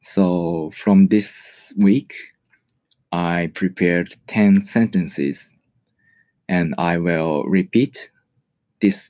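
The speaker has a Japanese accent and talks at a very slow pace. Long, frequent pauses break up speech with ordinary pitch variation. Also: man, very deep, low pitch for a man. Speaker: podcaster and English learner. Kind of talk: personal monologue. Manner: halting.

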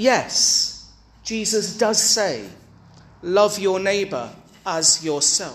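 With a British accent, a man talks at a very slow pace in a high voice with ordinary pitch variation, leaving long, frequent pauses over noticeable background noise. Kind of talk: sermon, homily. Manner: emphatic, forceful, declaring; formal, earnest, rhetorical.

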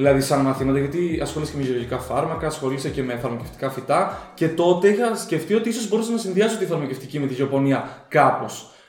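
Over noticeable background noise and audible room echo, a man with a fairly high pitch talks at a very fast pace with lively intonation and hardly any pauses. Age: 20s. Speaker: agronomy graduate and postgraduate student. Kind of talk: casual chat.

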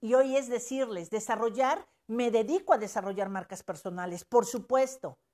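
With a Mexican accent and a fairly high pitch, a woman speaks in an animated tone at a moderate pace, her intonation lively, on a very clean recording with a silent background. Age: 50s. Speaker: life coach. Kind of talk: live stream talk. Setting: live stream.

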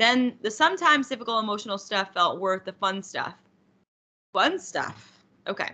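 Speaking at a moderate pace, a woman has a fairly high pitch and a bright, sharp tone. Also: lively intonation. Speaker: podcast host. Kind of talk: casual chat.

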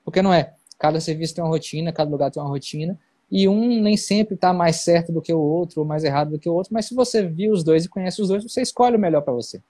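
Speaking very fast, a man with a high pitch and a dark, mellow tone is heard dry and close with no echo against a quiet background. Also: ordinary pitch variation. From Bahia interior (Guanambi), near Minas Gerais. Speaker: neurosurgeon. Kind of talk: casual interview on a live stream. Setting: online live stream.

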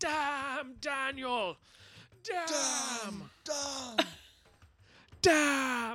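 A put-on character voice, shouting at a high pitch. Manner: screaming.

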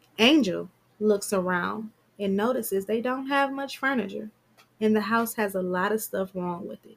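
Someone reading aloud in a natural voice.

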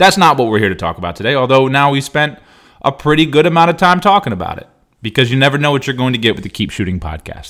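A man with vocal fry speaks at a medium pitch, making very wide pitch swings. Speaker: basketball skills trainer and podcast host. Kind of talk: casual solo monologue. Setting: recording at home with dog nearby. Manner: unscripted, off the top of his head; repetitive, stammering restarts.

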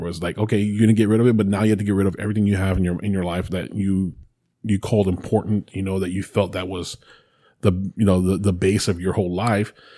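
Speaking very fast, a man with an American accent has a fairly low pitch and a dark, mellow tone. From Texas, San Antonio. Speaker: podcast co-host. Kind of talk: casual chat. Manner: animated.

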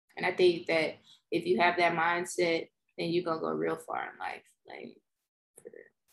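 Someone with a Mississippi accent speaks with long, frequent pauses and big swings in loudness. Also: woman, moderate pace. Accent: Southern US (Mississippi). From US South, Mississippi. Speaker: scientist. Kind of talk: casual chat.

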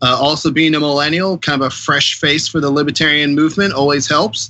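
In an American accent, an unremarkable speaking voice keeps a fairly quick pace and fairly even intonation. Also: man. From Columbus, Ohio, US Midwest. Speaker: political candidate. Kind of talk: interview.

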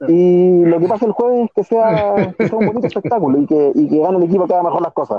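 Talking at a very fast pace, a man keeps his loudness very even. His pitch is high, with lively intonation. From Chile. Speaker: sports journalist. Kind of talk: interview. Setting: bus terminal, on the go.

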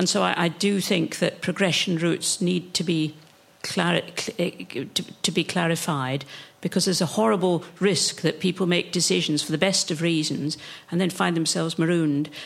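With an unremarkable speaking voice, a woman talks at a moderate pace and fairly low pitch, her loudness very even and her intonation fairly even. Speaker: audience member, former education official. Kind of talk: discussion question in seminar.

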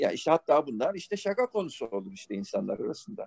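Recorded dry and close with no echo, a man speaks at a fairly quick pace with very wide pitch swings. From Turkey, Izmir. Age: 50s. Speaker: rock band bassist and songwriter. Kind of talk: interview conversation. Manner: hesitant, many filler sounds.

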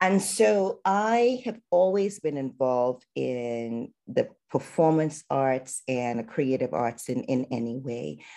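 Speaking very slowly in a very deep, low pitch, a woman uses a dark, mellow tone with very wide pitch swings. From Trinidad and Tobago. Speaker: physician and artist. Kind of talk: casual interview.

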